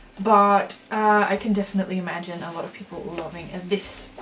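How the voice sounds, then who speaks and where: Against noticeable background noise, the voice moves along at a fairly quick pace. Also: woman. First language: not English. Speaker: stationery reviewer, YouTuber. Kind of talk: casual product review. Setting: home recording room with ring light. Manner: hesitant, with many fillers.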